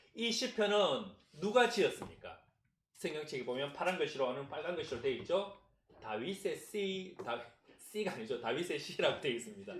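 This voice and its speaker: The voice swings very widely in pitch at a moderate pace, with audible room echo around it. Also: man, high pitch for a man. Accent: Gyeongsang. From Gyeongsang region, South Korea. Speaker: pastor. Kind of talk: sermon.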